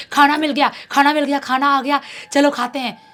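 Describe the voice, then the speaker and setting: A put-on character voice shouts, raised and projected, shrill and monotone with flat intonation. The pace is fairly quick. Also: woman, high pitch for a woman. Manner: shrieking, shouting.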